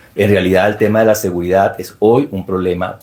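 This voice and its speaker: With a Venezuelan accent, a man talks at a fairly low pitch and a moderate pace in a monotone, flat intonation. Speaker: security expert speaker at book launch. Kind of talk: formal speech. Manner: formal.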